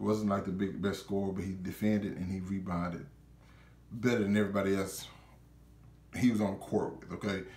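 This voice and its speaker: Fairly low male voice at a fairly quick pace, with long, frequent pauses and audible room echo. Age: 20s. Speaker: YouTuber reviewer. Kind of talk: casual video review monologue. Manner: animated, informal. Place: home room.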